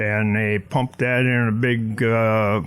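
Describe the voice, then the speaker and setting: At a very slow pace, a man of medium pitch talks in a Pennsylvania accent. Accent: rural Pennsylvania. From northern Pennsylvania. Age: 80s+. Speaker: retired gas company technician. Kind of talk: radio interview.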